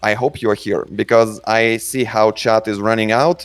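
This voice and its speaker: With music in the background, a man with a Russian accent and medium pitch talks at a moderate pace. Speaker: game studio community manager. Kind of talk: live Q&A session. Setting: voice call on a chat server. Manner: halting.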